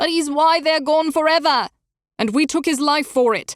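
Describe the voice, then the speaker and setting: Putting on a character voice, a woman talks in a high pitch at a moderate pace. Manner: anguished, bitter.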